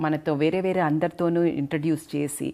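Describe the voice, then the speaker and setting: A woman speaks at a fairly low pitch. It is a normal speaking voice. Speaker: gynecologist. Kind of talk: interview host talk.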